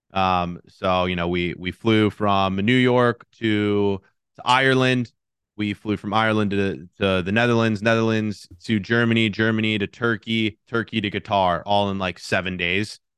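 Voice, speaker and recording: With an American accent, a man of fairly low pitch speaks at a moderate pace in an ordinary speaking voice, with fairly even intonation and a dry, close sound with no echo. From Cincinnati, Ohio. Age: 20s. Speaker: YouTuber. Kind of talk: interview.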